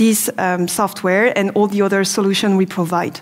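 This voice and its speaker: In a French accent, a woman speaks at a fairly quick pace. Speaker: business development manager. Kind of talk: product presentation. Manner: hesitant, many fillers.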